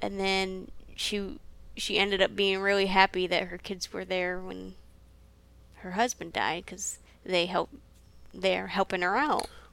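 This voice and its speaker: Medium-pitched female voice, fairly slow and fairly even in intonation, with long, frequent pauses. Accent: Midwestern American. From US Midwest. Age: 20s. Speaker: pastry cook. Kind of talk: casual chat.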